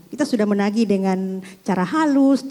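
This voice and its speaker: A woman talks at a moderate pace in a Makassar accent, her pitch medium with ordinary variation. Noticeable background noise is present. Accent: regional Indonesian, Makassar. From Makassar, Indonesia. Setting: religious study gathering Q&A.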